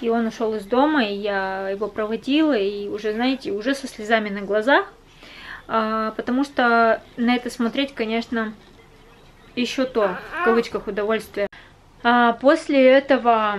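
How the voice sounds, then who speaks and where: Leaving long, frequent pauses, a woman speaks at a moderate pace with ordinary pitch variation. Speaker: vlogger. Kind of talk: casual vlog chat, personal story. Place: home room. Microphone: phone near.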